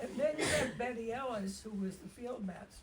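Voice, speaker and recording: Noticeable background noise mixes with audible room echo. The talking proceeds fairly slowly. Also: woman. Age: 80s+. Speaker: equestrian community elder. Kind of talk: reminiscence in casual group chat. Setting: fireside chat with small audience.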